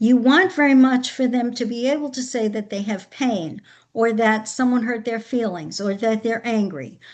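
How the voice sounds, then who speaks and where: The voice is a normal speaking voice at a moderate pace. The background is quiet. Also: woman, fairly high pitch for a woman, ordinary pitch variation. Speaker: education consultant and behavior analyst. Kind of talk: webinar presentation.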